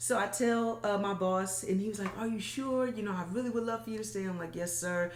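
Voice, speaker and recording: A woman at medium pitch with ordinary pitch variation, hardly any pauses, and noticeable background noise. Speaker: motivational speaker. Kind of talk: interview. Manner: stumbles over words.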